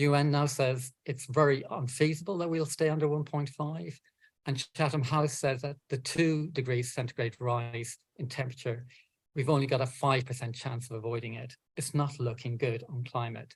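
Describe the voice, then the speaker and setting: With a somewhat breathy voice, a man speaks at medium pitch and a moderate pace, his intonation fairly even. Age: 60s. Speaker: environmental campaigner and author. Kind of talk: talk. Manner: halting.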